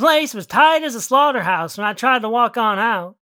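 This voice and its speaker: Bright, sharp tone from a woman in a rural American accent, with fairly high pitch and lively intonation. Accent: exaggerated rural American country drawl. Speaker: fiction writer narrating own story. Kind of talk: dramatic narration. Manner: rising tension in action beats, then a punchy comic payoff.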